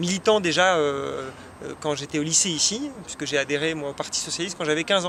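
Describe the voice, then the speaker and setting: Talking at a fairly quick pace, a man with a fairly high voice is heard over noticeable background noise. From France, Chartres (Eure-et-Loir). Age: 30s. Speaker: politician, parliamentary candidate. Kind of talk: interview. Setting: web TV interview. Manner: frequent hesitations (euh).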